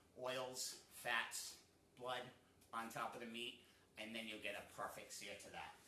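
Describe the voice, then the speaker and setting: An American-accented man speaks at a fairly slow pace in a bright, sharp tone with monotone, flat intonation, and audible room echo around his voice. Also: medium pitch for a man. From New England, US. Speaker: cooking show host. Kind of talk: cooking tutorial. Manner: casual, with many fillers.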